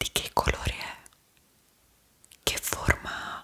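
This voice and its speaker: A woman whispers at a very slow pace in a soothing tone. There is noticeable background noise. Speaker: ASMR creator, guided meditation guide. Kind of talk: guided meditation / sleep visualization. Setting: studio, close-mic with calm background melody. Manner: whispered, slow, soothing.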